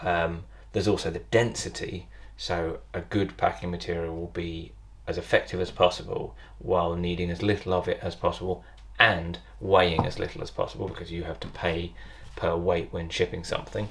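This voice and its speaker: A man with a British accent at a fairly quick pace, over noticeable background noise. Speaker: potter. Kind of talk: tutorial.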